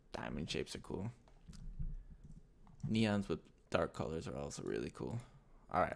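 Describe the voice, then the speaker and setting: A man's very deep, low voice with vocal fry, an animated tone, very wide pitch swings, and long, frequent pauses. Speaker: motion graphics tutorial creator. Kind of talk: tutorial. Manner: fast; casual, animated.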